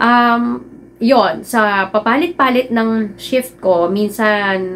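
Over light background noise, a woman speaks in a normal speaking voice at a medium pitch, with ordinary pitch variation. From Philippines. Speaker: vlogger. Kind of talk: personal vlog talk. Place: home room.

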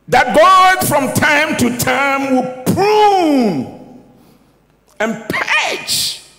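A man's extremely high voice with very wide pitch swings, a bright, sharp tone and vocal fry, at a very slow pace amid audible room echo

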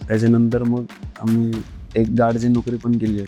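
With music in the background, a soft-spoken man talks at a medium pitch in monotone, flat intonation. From Raigad district, Maharashtra, India. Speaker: professional kabaddi player. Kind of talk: interview answer.

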